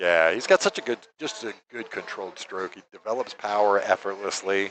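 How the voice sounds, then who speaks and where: A man with an American accent and a normal speaking voice talks at a fairly quick pace in a fairly low pitch. His pitch varies in an ordinary way, while his loudness swings widely. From New York. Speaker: pool commentator. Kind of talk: live commentary with casual chat. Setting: live stream at a pool hall.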